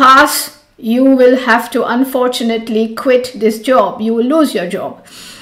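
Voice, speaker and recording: There is noticeable background noise. Over it, a woman speaks in a high pitch. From India, Mumbai. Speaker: yoga teacher. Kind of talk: storytelling.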